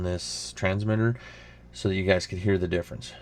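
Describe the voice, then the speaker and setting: A man talks in a flat monotone. His voice sits fairly low. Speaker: outdoor YouTuber. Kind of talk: unboxing and mic test tutorial. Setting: indoors at laptop. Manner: loud; casual, rambling-paced.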